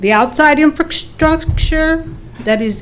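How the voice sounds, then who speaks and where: Over music in the background, a woman speaks at a fairly slow pace with ordinary pitch variation. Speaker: resident speaking at public hearing. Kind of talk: reading prepared statement. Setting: county board public hearing.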